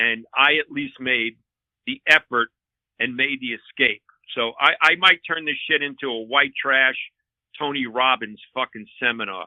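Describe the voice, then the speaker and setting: A man with a New York accent, medium pitch and ordinary pitch variation, at a fairly slow pace. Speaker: comedian and former transit cop. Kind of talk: casual chat. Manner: animated.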